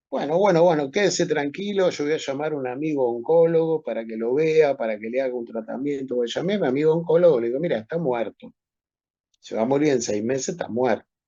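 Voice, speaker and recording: With a Rioplatense accent, a man speaks at a very fast pace in a fairly high pitch. His tone is dark and mellow, with ordinary pitch variation. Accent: Argentine Rioplatense Spanish. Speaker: medical professor. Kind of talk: lecture. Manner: animated storytelling.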